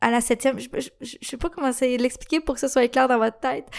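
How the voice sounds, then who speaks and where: A woman speaks in a high pitch with a Quebec accent. The recording is very clean, with a silent background. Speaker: podcast host. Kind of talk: casual monologue.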